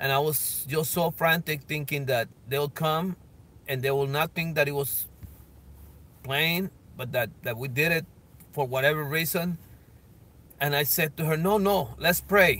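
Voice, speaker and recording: A man's fairly high voice with a bright, sharp tone, ordinary pitch variation, a fairly slow pace, long, frequent pauses and a dry sound with no echo. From Colombia. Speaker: evangelist. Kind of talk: personal testimony. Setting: outdoors, filming himself. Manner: halting, many fillers. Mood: earnest, emotional storytelling. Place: car. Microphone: phone near.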